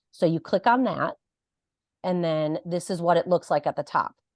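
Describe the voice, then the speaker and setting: A woman with an ordinary speaking voice, fairly low in pitch, at a moderate pace, with a dry, close sound, no echo and a quiet background. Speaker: club president and software trainer. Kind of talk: tutorial.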